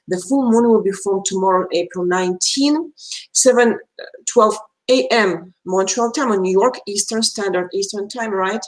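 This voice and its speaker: With a Russian accent, a woman speaks at a medium pitch. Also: ordinary pitch variation. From Belarus. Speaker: astrologer. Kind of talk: live stream talk. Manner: fast; halting.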